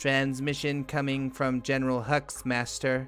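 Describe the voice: A man's put-on character voice, medium in pitch, at a moderate pace over clear music in the background.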